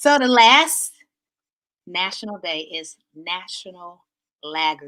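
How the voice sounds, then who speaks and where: With a Southern US accent, a woman talks at a very slow pace at medium pitch, her voice swinging very widely in pitch between long, frequent pauses. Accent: Southern twang. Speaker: talk show host. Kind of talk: casual chat.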